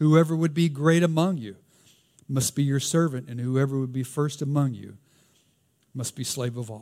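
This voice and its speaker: Speaking in a Southern US accent with a fairly high pitch and a dark, mellow tone, a man moves at a moderate pace, with long, frequent pauses and big swings in loudness. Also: ordinary pitch variation. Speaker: pastor. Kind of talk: sermon. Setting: church.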